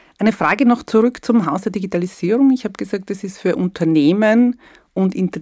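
A woman speaks at a moderate pace with vocal fry. Her pitch varies in an ordinary way. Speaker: podcast host. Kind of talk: interview.

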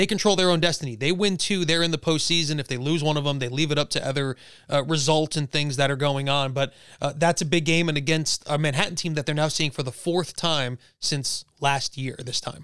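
A man speaks in a normal speaking voice at a fairly high pitch, at a fairly quick pace. His intonation is fairly even, and the recording is very clean with a silent background. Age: 30s. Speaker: podcast host. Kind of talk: sports news roundup; casual interview chat.

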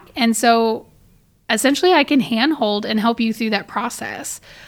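A woman with an American accent has an unremarkable speaking voice, a fairly high pitch and ordinary pitch variation. The recording is very clean, with a silent background. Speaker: boudoir and wedding photographer. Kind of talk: casual interview chat.

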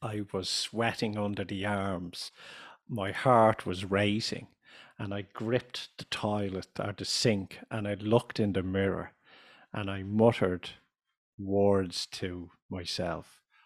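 A man speaks very slowly in a Dublin accent. His fairly low voice stays monotone and flat. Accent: Irish (Dublin). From Ireland. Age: 50s.

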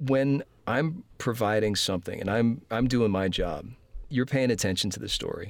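Recorded very cleanly with a silent background, a man with a plain, everyday voice speaks at a fairly slow pace with ordinary pitch variation. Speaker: voice actor and audio description narrator. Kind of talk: interview conversation.

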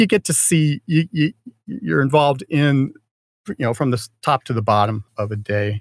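Very wide pitch swings from a man with an American accent, at a moderate pace, in a dry, close recording with no echo. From Florida. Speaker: lighting designer and stage manager. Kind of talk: casual interview chat. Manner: halting, many repetitions and fillers.

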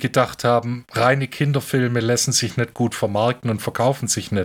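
The speaker is a man with medium pitch. The recording is very clean, with a silent background. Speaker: film podcast co-host. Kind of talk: casual chat.

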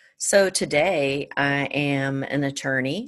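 Against a quiet background, a woman with an American accent speaks at a very deep, low pitch. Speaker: attorney, service academy graduate. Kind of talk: interview.

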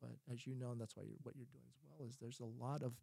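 Very fast and somewhat breathy, a man with an American accent speaks at a medium pitch in a dark, mellow tone with ordinary pitch variation. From Ohio, US Midwest. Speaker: psychologist. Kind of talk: casual chat.

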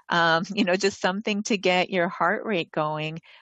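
Speaking with an American accent, a woman keeps a fairly low pitch and a moderate pace. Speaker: doctor. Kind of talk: casual chat. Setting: video call.

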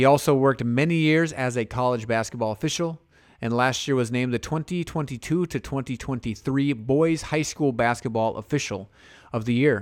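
Speaking at a fairly quick pace, a man has an unremarkable speaking voice. His pitch sits at medium with ordinary variation. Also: very clean recording, silent background. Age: 30s. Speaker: podcast host, basketball referee. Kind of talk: interview.

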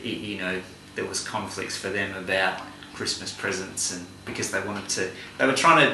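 A man with an Australian accent at a fairly low pitch and moderate pace, with noticeable background noise and audible room echo. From Western Australia (Kalgoorlie, goldfields). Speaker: community worker and university educator. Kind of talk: interview. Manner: halting.

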